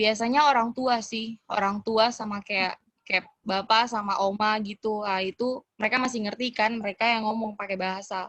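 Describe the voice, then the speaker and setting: A woman with a Papuan accent speaks at a fairly high pitch in a monotone, flat intonation, the sound dry and close with no echo. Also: moderate pace. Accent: Papuan Indonesian. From Papua, Indonesia. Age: young. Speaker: cultural exchange guest. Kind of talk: casual interview. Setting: video call. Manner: halting, many fillers.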